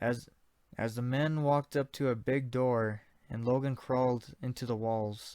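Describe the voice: Someone is reading aloud. The reading is plain.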